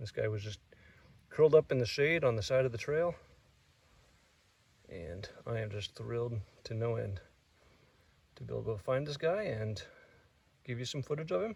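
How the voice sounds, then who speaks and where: With lively intonation and big swings in loudness, a somewhat breathy man talks at a moderate pace, leaving long, frequent pauses. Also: medium pitch for a man. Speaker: snake-hunting vlogger. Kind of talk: outdoor vlog narration. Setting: outdoors on a trail.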